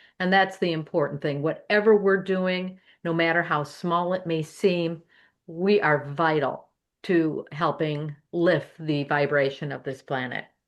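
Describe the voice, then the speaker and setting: It is a plain, everyday voice with fairly even intonation. The pace is fairly slow. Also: woman, fairly low pitch for a woman. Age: 60s. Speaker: podcast panelist. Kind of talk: panel discussion.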